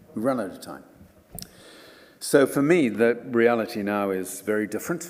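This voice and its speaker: With audible room echo in the space, a man speaks at a moderate pace. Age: 70s. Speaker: environmental campaigner and author. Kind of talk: lecture.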